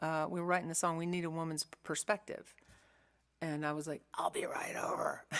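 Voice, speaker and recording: A woman speaks in a monotone with flat intonation. The recording is very clean, with a silent background. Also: moderate pace. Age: 60s. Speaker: singer-songwriter. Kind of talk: casual chat between songs in a livestream concert. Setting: home studio livestream. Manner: chatty, with many hesitations.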